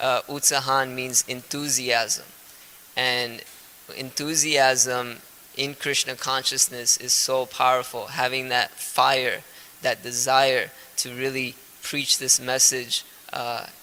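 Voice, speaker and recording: With noticeable background noise behind him, a man with a Gujarati accent speaks very slowly in a medium-pitched, flat monotone. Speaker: spiritual teacher. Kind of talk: lecture. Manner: halting, frequent uh fillers.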